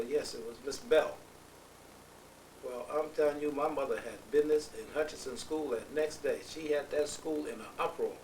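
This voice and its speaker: With noticeable background noise around him, a man talks at a moderate pace. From New Rochelle, New York. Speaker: family elder. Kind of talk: family oral history interview. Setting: at a relative's home.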